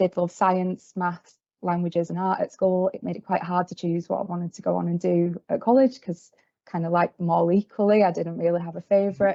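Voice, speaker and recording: A woman with a Yorkshire accent and a fairly low voice speaks at a moderate pace in monotone, flat intonation. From Yorkshire, northern England. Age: 20s. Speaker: field service engineer trainee. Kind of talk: career talk presentation. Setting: video call meeting. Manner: hesitant, many fillers.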